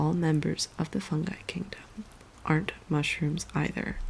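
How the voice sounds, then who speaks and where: A woman with a very deep, low voice speaks in a gentle tone touched with vocal fry. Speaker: ASMR creator and illustrator. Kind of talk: soft-spoken ASMR book reading for sleep. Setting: in bed with rain sounds in the background, close mic. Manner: slow, gentle reading with occasional hesitation over scientific names.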